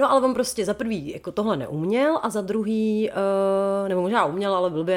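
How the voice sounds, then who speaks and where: A woman at a medium pitch speaks in an animated tone with lively intonation. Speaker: podcast co-host. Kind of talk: casual chat.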